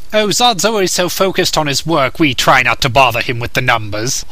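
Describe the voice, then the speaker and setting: A man puts on a character voice at a fairly high pitch. He speaks at a fairly quick pace. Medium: dub. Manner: sarcastic, grumpy.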